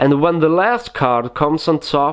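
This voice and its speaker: Speaking with a non-native accent, a man talks at a fairly slow pace and a fairly high pitch. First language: not English. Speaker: magic tutorial youtuber. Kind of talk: tutorial. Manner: hesitant, many fillers.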